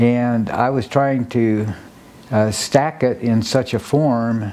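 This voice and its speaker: Very slowly and with fairly even intonation, a man at a medium pitch speaks with an American accent. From Nebraska. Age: 80s+. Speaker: sculptor and dancer. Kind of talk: documentary interview. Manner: halting.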